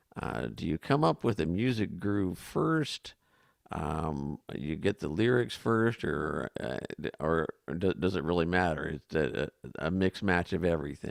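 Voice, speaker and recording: In a dry, close recording with no echo, a man with a very deep, low voice talks at a fairly slow pace, showing vocal fry and lively intonation. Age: 60s. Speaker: talk show co-host. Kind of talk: interview.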